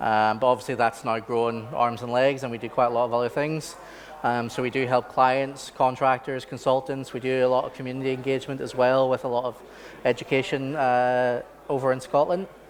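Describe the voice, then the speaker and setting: Spoken in a Belfast accent, the delivery is fairly quick with monotone, flat intonation. Noticeable background noise sits behind it. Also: man, medium pitch for a man. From Northern Ireland, Belfast. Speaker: architect and software trainer. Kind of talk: training workshop presentation. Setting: conference training session. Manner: casual, many fillers.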